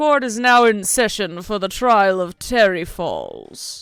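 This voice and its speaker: A fairly high-pitched, put-on character voice goes at a fairly slow pace. Music plays in the background. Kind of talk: formal, ceremonial.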